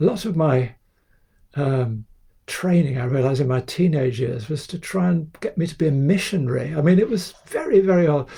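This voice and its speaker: A man talks at a fairly high pitch in a dark, mellow tone that is somewhat breathy. His intonation is lively and his pace moderate. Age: 70s. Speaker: photographer. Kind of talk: interview. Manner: hesitant, many fillers.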